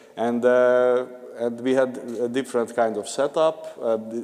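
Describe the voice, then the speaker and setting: Over noticeable background noise, a man with a Hungarian accent speaks at a medium pitch in a monotone, flat intonation. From Hungary. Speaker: conference panelist, regional food project partner. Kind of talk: panel discussion. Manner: halting, many fillers.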